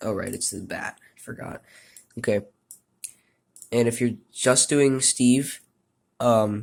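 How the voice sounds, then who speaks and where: At a very slow pace, a man of medium pitch talks in a flat monotone with long, frequent pauses. His loudness swings greatly. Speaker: video game modder. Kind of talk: tutorial. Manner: hesitant with fillers.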